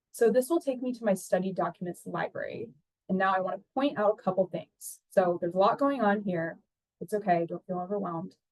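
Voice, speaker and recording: The recording is dry and close, with no echo. A woman of medium pitch speaks fairly quickly with ordinary pitch variation. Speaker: research compliance analyst. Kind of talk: tutorial. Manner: fast.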